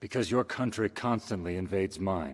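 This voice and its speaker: Cartoonish character voice from a man, fairly low-pitched with ordinary pitch variation and a fairly quick pace, on a very clean recording with a silent background. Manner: curt, formal.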